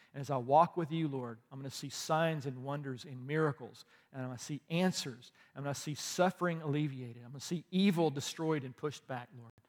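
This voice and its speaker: A man with a fairly high pitch talks at a fairly quick pace, his loudness swinging widely while his pitch varies in an ordinary way. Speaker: pastor. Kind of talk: sermon. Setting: church. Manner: animated.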